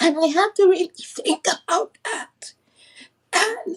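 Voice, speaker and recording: Very slow pace with ordinary pitch variation. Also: woman. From Virgin Islands. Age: 60s. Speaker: guest speaker. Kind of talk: testimony.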